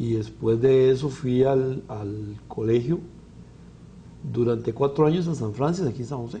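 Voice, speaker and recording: A man with a Costa Rican accent talks at a fairly slow pace, in a medium pitch with ordinary pitch variation. His tone is dark and mellow and somewhat breathy. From Costa Rica, Alajuela. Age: 60s. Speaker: physician. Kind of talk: interview. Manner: halting.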